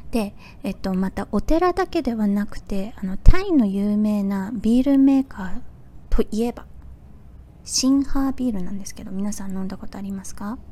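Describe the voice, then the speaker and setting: A woman speaks at a moderate pace in a fairly high pitch, with ordinary pitch variation and a relaxed, gentle tone, over noticeable background noise. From Fukuoka, Japan. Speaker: podcaster. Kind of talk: casual solo talk.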